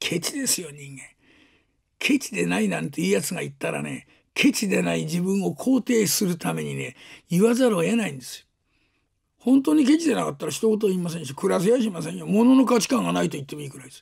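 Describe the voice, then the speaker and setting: A man's put-on character voice, raspy and high-pitched, delivered at a very fast pace with big swings in loudness. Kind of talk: rakugo storytelling. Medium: stage play. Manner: rambling, sardonic.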